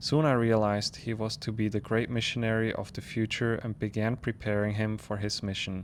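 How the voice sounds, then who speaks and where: With a non-native accent, a man of fairly low pitch speaks at a moderate pace in a monotone, flat intonation. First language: not English. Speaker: spiritual content creator. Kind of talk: reading aloud. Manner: occasional self-corrections.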